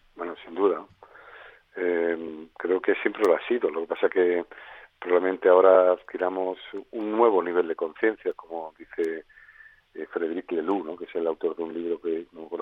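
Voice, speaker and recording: A man's very deep, low voice holds a monotone, flat intonation at a moderate pace while his loudness swings widely. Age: 60s. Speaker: head of an advertising industry association. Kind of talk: interview. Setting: phone call.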